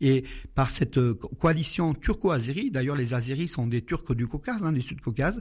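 A man's fairly high, somewhat breathy voice with lively intonation at a moderate pace, on a very clean recording with a silent background. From Syria (Aleppo). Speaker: Armenian community association co-president. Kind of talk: radio interview. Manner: halting.

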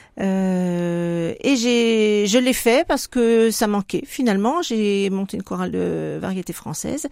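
Over a very clean recording with a silent background, a woman at medium pitch speaks at a very slow pace with lively intonation and hardly any pauses. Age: 60s. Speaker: retired hospital worker and association president. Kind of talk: radio interview. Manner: hesitant, with fillers.

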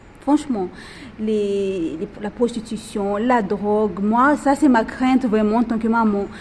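Noticeable background noise accompanies a woman who speaks at a fairly slow pace. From Madagascar. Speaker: prison inmate. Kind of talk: group discussion. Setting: prison. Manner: halting.

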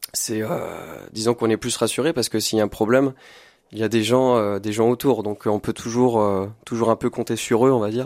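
Recorded very clean with a silent background and a dry, close sound with no echo, a man speaks at a fairly quick pace in a medium pitch with fairly even intonation. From France, Loir-et-Cher (Blois). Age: 20s. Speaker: singer-songwriter. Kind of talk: radio interview. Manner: hesitant, many fillers.

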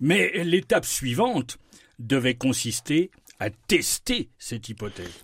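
In a somewhat breathy voice, a man with fairly high pitch speaks at a very slow pace, his pitch swinging very widely. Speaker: science columnist on radio. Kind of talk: radio science segment.

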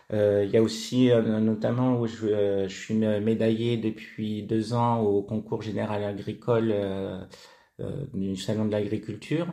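Speaking very slowly, a man delivers his words in a monotone, flat way, his fairly low voice carrying a dark, mellow tone. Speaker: fruit juice artisan. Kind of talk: radio interview. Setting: in his basement workshop. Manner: halting, repeats words.

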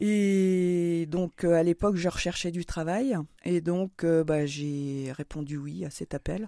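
A woman speaks at a very slow pace in a fairly low voice with a dark, mellow tone. Her pitch varies in an ordinary way, and the recording is very clean with a silent background. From northeastern France. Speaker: diocesan communications worker. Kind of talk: radio interview. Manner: hesitant, many fillers.

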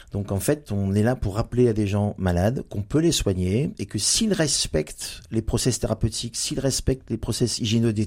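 On a very clean recording with a silent background, a man speaks at a moderate pace at medium pitch with ordinary pitch variation, his tone dark, mellow and somewhat breathy. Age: 50s. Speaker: general practitioner. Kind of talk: radio interview. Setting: studio. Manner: hesitant, many fillers.

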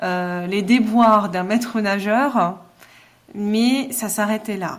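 At a very slow pace, a woman talks in a fairly high pitch, with audible room echo around her. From Alsace, Mulhouse. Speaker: novelist. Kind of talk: interview.

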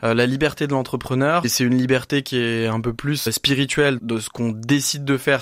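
A man talks in an ordinary speaking voice at medium pitch. His pace is moderate and his intonation fairly even. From France, Dijon. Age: 20s. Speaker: entrepreneur, company co-founder. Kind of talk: radio interview.

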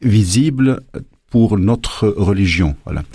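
A man's fairly low voice, dark and mellow in tone, with ordinary pitch variation on a very clean recording with a silent background. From Lebanon. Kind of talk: radio interview. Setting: radio studio. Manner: halting.

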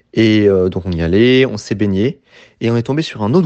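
The man's pitch is medium, with ordinary variation. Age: 20s. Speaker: radio volunteer. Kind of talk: testimony.

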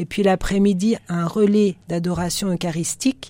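A woman speaks at a fairly slow pace in a fairly low voice with a dark, mellow tone. The recording is very clean, with a silent background. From western France (Nantes). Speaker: religious sister. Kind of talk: radio interview.

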